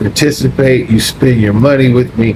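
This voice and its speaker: Through noticeable background noise, a man speaks at a medium pitch in an animated tone. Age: 60s. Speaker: retired expat vlogger. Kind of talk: casual vlog monologue.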